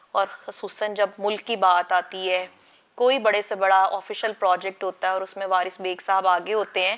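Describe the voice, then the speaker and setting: In a monotone with flat intonation, a woman speaks at a medium pitch. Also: fairly slow pace. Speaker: TV talk show host. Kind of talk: interview.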